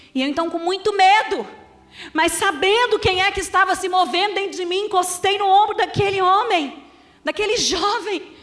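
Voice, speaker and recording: With a Minas Gerais accent, a woman speaks at an extremely high pitch in an animated tone, and the room echo is audible. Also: ordinary pitch variation, moderate pace. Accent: Minas Gerais (mineiro). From Brazil, Minas Gerais (Belo Horizonte). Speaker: pastor. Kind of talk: sermon.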